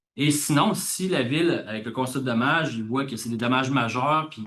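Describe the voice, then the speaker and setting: A man talks fairly briskly in a mid-range pitch, his intonation fairly flat. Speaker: government official. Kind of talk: conference presentation. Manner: fast.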